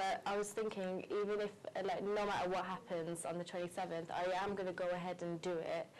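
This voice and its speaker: A woman with a slight West Midlands accent, fairly quick and monotone, flat in intonation, very even in loudness, over noticeable background noise. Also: medium pitch for a woman. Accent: slight Wolverhampton. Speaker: beauty pageant contestant. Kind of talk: interview.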